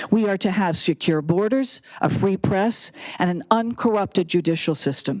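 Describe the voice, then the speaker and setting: A woman talks in a normal speaking voice at medium pitch and a moderate pace with ordinary pitch variation. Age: 60s. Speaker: public commenter. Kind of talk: public comment speech. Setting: city council chamber.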